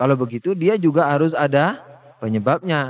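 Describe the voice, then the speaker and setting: A man speaks at a fairly quick pace with a slight Madurese accent. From Madura, Indonesia. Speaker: Islamic religious teacher. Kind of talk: religious lecture. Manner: conversational, with filler hesitations.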